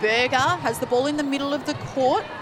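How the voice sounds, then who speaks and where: Amid noticeable background noise, a woman with a high pitch speaks at a moderate pace. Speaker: netball commentator. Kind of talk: live sports commentary. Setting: stadium broadcast with crowd.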